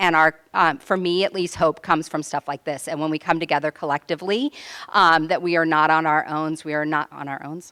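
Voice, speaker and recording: In an American accent, a woman talks at a fairly quick pace and a fairly low pitch, her bright, sharp tone swinging widely in loudness within a dry, close sound with no echo. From California, Central Coast. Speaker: sociology professor and activist. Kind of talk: panel talk. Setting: room with live audience, handheld mic. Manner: animated.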